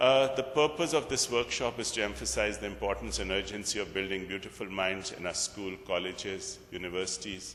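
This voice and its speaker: Noticeable background noise sits behind a man with a fairly low voice. He talks at a fairly quick pace with hardly any pauses and very wide pitch swings. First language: Urdu and Punjabi. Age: 50s. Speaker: workshop speaker. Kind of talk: workshop talk.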